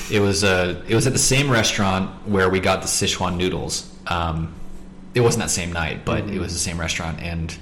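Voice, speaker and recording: With an American accent, a man speaks in a very deep, low pitch with ordinary pitch variation. His pace is fairly quick, and noticeable background noise is present. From Montana, US. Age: 20s. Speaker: English teacher. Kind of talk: casual chat. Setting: home kitchen.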